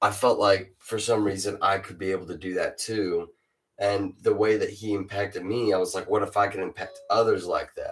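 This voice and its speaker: With music in the background, a man keeps a moderate pace. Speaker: rapper. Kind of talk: casual chat. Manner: stutters.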